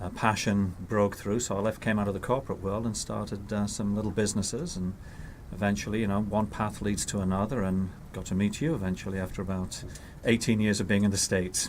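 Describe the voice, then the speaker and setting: With an English accent, a man talks very fast in a fairly low voice with fairly even intonation. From northern England. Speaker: healthcare company CEO. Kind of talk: interview.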